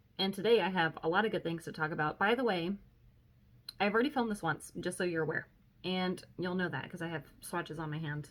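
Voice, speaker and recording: Very fast and fairly low-pitched, a woman's voice runs through the clip. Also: ordinary pitch variation. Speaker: beauty vlogger. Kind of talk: casual vlog chat. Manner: breathing heavily.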